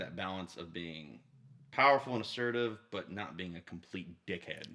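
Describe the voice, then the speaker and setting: Loud and bright with a sharp tone, a man talks at a moderate pace. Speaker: podcast host. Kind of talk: casual chat. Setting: home studio under stairs.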